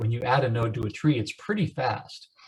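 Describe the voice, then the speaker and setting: Somewhat breathy, a man speaks at a medium pitch with lively intonation. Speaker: computer science instructor. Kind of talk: lecture.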